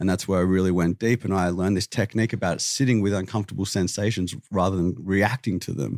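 A man talks at a very fast pace with an Australian accent. The sound is dry and close with no echo, and his pitch variation is ordinary. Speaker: vegan activist. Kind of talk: heated debate. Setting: studio.

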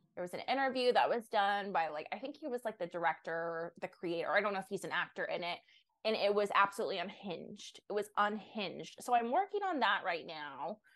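A woman with an ordinary speaking voice and medium pitch talks at a fairly quick pace with lively intonation. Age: 20s. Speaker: online content creator. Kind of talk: casual chat.

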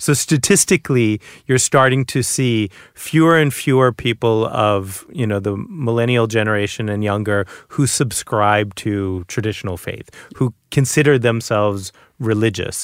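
A man's plain, everyday voice at medium pitch with an American accent, ordinary pitch variation and a moderate pace, dry and close with no echo on a very clean recording over a silent background. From Boston, US. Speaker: author. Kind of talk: casual chat.

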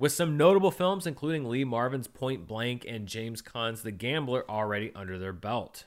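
A man's ordinary speaking voice at medium pitch, fairly quick in pace with lively intonation. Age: 30s. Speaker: movie podcast host. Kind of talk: casual chat.

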